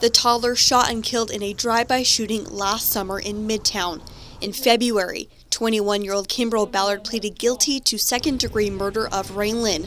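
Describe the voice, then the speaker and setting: A woman at a fairly high pitch, fairly quick and fairly even in intonation, over noticeable background noise. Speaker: TV news reporter and anchor. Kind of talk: TV news report.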